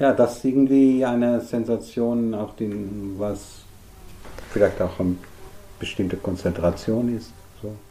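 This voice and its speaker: Against noticeable background noise, a man at a medium pitch talks fairly slowly with fairly even intonation. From Netherlands. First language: Dutch (speaking German). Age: 50s. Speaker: artist. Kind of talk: interview. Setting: artist's studio worktable. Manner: halting.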